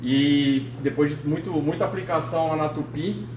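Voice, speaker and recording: A man with a São Paulo accent speaks at a fairly high pitch. Audible room echo and noticeable background noise are present. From São Paulo city, Brazil. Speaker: engineer and AI lecturer. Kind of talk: lecture. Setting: meeting hall with audience. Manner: casual, with many fillers.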